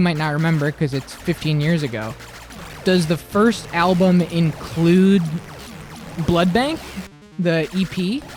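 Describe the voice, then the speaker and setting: Speech at a fairly slow pace, broken by long, frequent pauses, plays over music in the background. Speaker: livestreamer. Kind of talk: casual chat. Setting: live stream.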